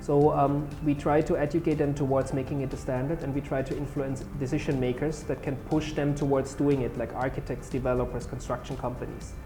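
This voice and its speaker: A man with a German accent talks at a fairly quick pace in a monotone, flat intonation, with hardly any pauses. The recording has audible room echo and music in the background. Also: fairly high pitch for a man. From Germany. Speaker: solar company founder. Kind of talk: interview. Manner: halting.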